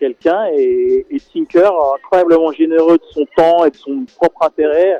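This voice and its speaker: This man's voice has a dark, mellow tone and ordinary pitch movement. The sound is dry and close with no echo, and he speaks at a fairly slow pace. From Senegal. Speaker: documentary filmmaker. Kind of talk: radio interview. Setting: phone call. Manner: halting, many repetitions.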